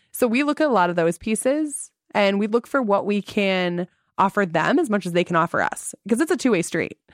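A woman with an American accent talks at a fairly quick pace in an unremarkable speaking voice, medium-pitched with lively intonation and very even loudness. The sound is dry and close with no echo, a very clean recording over a silent background. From Traverse City, Michigan. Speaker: festival organization CEO. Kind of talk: interview.

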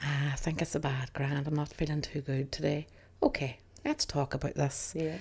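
A woman speaks at a moderate pace in a Northern Irish accent, her pitch very deep and low. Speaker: podcast co-host. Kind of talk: casual chat. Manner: giggly.

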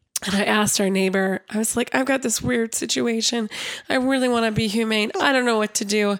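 A woman talks at a fairly quick pace, her ordinary pitch variation heard through noticeable background noise. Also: fairly high pitch for a woman, very even loudness. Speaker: podcast co-host. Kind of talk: casual chat.

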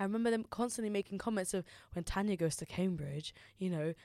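The speaker is a woman with a London accent, talking at a fairly quick pace. The recording is very clean, with a silent background. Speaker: university student. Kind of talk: casual chat.

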